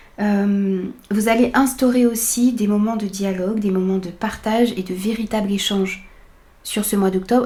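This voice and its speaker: A woman's fairly high voice, dark and mellow in tone, somewhat breathy, with fairly even intonation. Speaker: tarot reader. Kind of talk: tarot reading.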